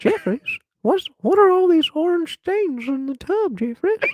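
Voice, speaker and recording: At a moderate pace, a shaky, put-on character voice is pitched extremely high. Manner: scolding.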